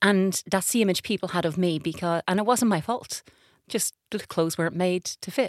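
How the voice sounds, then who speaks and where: A plain, everyday voice from a woman at medium pitch with ordinary pitch variation and a moderate pace, the sound dry and close with no echo on a very clean recording with a silent background. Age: 40s. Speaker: patient advocacy director. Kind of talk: casual chat.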